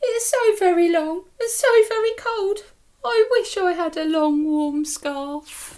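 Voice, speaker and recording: A put-on character voice at a fairly slow pace with very wide pitch swings. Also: woman, extremely high pitch for a woman. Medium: read story.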